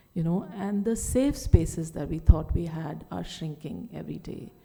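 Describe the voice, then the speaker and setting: A woman with a dark, mellow tone and vocal fry speaks with ordinary pitch variation. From India, Delhi. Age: 60s. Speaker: writer and speaker. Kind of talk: conference talk.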